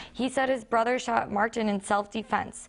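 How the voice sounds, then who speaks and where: Against a quiet background, a woman talks at a moderate pace in an ordinary speaking voice, fairly high in pitch with fairly even intonation. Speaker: news anchor, recent journalism graduate. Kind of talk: television news anchor delivery. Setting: television studio news set.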